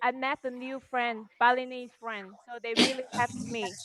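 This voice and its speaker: Speaking at a moderate pace, a woman with a Vietnamese accent has a fairly high pitch and a bright, sharp tone. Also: dry, close sound with no echo. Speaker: model. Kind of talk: online panel discussion. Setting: video call. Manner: halting. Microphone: poor internet connection.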